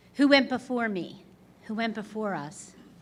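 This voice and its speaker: Audible room echo fills the space. A woman speaks at a moderate pace, her pitch varying in an ordinary way. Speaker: award honoree, retired attorney. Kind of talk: acceptance speech. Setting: stage with audience. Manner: loud.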